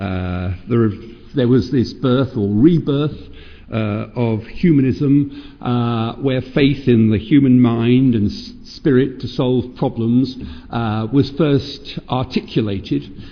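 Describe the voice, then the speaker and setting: With a British accent, a man of medium pitch and ordinary pitch variation speaks at a very slow pace amid audible room echo. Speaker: professor of child psychiatry. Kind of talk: lecture. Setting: stage with audience. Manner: halting.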